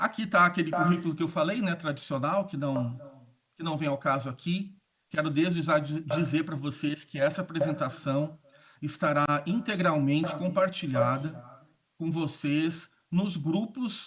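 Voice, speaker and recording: A man's fairly high voice unfolds slowly, though not very slowly, and varies in pitch in an ordinary way. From southern Brazil (Rio Grande do Sul). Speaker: communication consultant and speaker. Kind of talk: conference talk. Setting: auditorium stage with audience, also streamed online.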